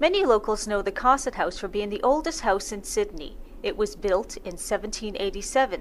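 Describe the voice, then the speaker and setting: Fairly quick and lively in intonation, a woman talks in a normal speaking voice with a fairly high pitch. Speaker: radio host. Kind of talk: radio show narration.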